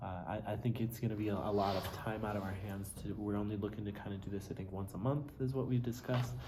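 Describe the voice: A man's fairly low voice at a fast pace, fairly even in intonation, with audible room echo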